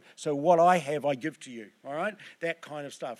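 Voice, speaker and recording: A man talks at a fairly quick pace with a Southland accent on a very clean recording with a silent background. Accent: New Zealand, Southland. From New Zealand, Southland. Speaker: preacher. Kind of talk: sermon. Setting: church.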